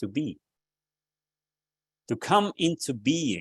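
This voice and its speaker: His pitch swings very widely as he talks. The man's sound is dry and close, with no echo. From Austria. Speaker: Sufi teacher. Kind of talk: spiritual teaching talk.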